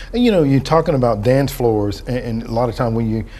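Speaking at a fairly quick clip, the man lets his pitch move up and down in an ordinary manner. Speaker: TV talk show host. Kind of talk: interview. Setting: studio. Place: studio.

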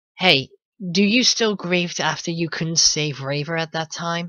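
A raspy, put-on character voice at a middle pitch moves along at a moderate pace. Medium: machinima. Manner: formal, warm, amused.

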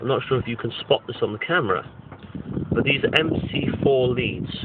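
Amid noticeable background noise, a man talks at a fairly slow pace in a dry sound with no echo. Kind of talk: casual tutorial walkthrough. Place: open country. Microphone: phone near.

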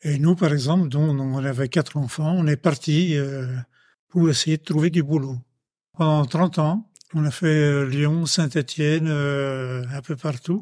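Very slowly and with fairly even intonation, a man speaks at a fairly high pitch on a very clean recording with a silent background. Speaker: retired local resident, miner's son. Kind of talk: casual testimony. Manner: halting, many repetitions.

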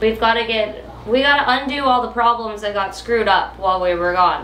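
A woman talks at a moderate pace with ordinary pitch variation, light background noise and audible room echo. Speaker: boat-living vlogger. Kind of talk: casual vlog chat. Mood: mildly frustrated. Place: boat. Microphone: camera far.

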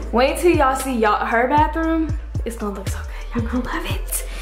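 A woman talks at a fairly quick pace. Clear music plays in the background. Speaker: vlogger filming the tour. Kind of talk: casual vlog chat. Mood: excited, upbeat. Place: home room. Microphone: phone near.

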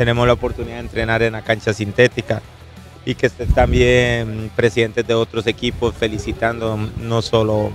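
A man at a fairly quick pace, dry sound with no echo, faint music in the background. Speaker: football club coach or official. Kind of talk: interview answer. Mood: pleased, grateful. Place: stadium. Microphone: handheld.

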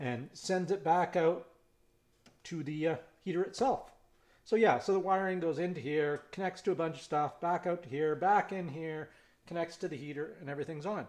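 At a moderate pace, a man with a high pitch speaks with ordinary pitch variation. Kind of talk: tutorial. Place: workshop.

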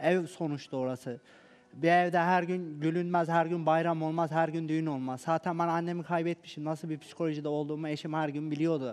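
A man talks at a fairly quick pace. His intonation is flat and monotone. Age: 20s. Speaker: reality show participant; guest. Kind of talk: emotional testimony. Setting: TV studio. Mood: aggrieved, defensive, emotional. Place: studio. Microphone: headset.

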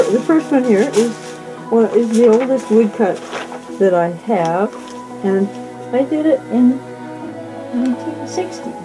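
Over clear music in the background, a speaker with an American accent talks at a fairly slow pace with long, frequent pauses. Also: woman. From California. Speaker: artist, printmaker and ceramicist. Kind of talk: casual talk in her studio about her artwork. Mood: warm, fond. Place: workshop.

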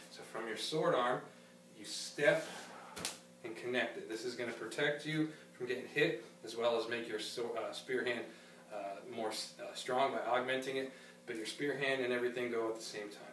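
Over light background noise with audible room echo, a man speaks at a moderate pace with fairly even intonation and long, frequent pauses. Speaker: karate instructor. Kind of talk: tutorial. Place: gym. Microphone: camera far.

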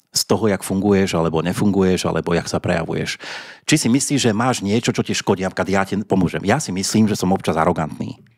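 A man with a very deep, low pitch talks at a very fast pace over a quiet background. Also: ordinary pitch variation. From Slovakia. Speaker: podcast host. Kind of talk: casual chat; outro announcement. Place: studio. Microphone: studio mic.

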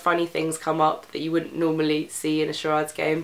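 The voice has a fairly bright tone and moves at a fairly quick pace, with audible room echo around it. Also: woman.

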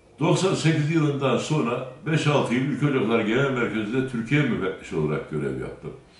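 Audible room echo surrounds a man speaking at a moderate pace with lively intonation. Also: hardly any pauses. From Turkey, Kayseri (Bünyan); Turkey. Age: 60s. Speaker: mayoral candidate; candidate. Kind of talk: interview testimony. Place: office.

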